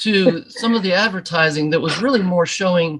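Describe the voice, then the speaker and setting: At a moderate pace, a man speaks with lively intonation. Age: 60s. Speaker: graphic designer joining podcast. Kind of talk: casual interview question. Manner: halting.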